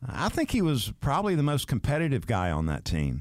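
A man speaks with a Southern US accent. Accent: Southern US (South Georgia). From US South, Valdosta, Georgia. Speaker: sports radio host and former quarterback. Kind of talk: casual interview chat.

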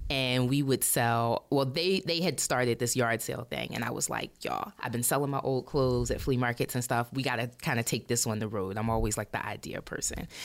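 Here a woman with a very deep, low voice and an American accent speaks at a moderate pace with ordinary pitch variation. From Baltimore, Maryland, US. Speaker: vintage clothing shop owner. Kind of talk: interview conversation. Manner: casual with many fillers.

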